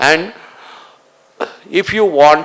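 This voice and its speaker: A man speaks over noticeable background noise. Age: 70s. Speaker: doctor and conference speaker. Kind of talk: conference talk.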